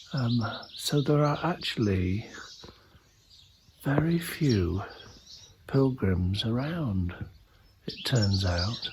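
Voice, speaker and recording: A man whispering in a relaxed tone at a very slow pace, with long, frequent pauses and noticeable background noise. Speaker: travel vlogger on pilgrimage. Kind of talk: walking travelogue vlog. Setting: outdoors walking through village. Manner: relaxed, musing.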